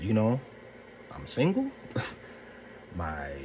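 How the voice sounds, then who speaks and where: Noticeable background noise sits under the audio. A man talks at a moderate pace. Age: 40s. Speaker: mental health vlogger. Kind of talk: casual talk to camera.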